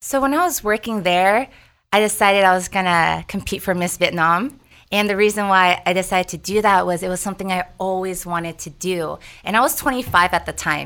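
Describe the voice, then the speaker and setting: On a very clean recording with a silent background, a woman speaks at a fairly quick pace with a medium pitch, ordinary pitch variation and a bright, sharp tone. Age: 30s. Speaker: fitness instructor. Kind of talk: casual interview.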